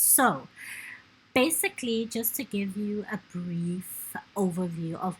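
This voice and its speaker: Ordinary pitch variation with a non-native accent. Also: woman. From South Africa. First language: not English. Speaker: gaming YouTuber. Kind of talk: let's play commentary. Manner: halting.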